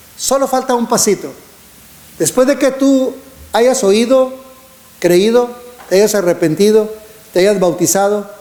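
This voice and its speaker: Over noticeable background noise, a man with a high pitch speaks at a fairly slow pace with long, frequent pauses, ordinary pitch variation and very even loudness. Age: 60s. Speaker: preacher. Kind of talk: sermon.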